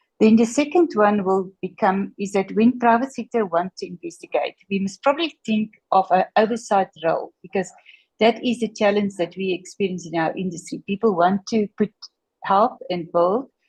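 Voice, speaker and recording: Woman at a moderate pace, medium-pitched and somewhat breathy, in a dry, close sound with no echo. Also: ordinary pitch variation. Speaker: logistics industry representative. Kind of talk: audience question.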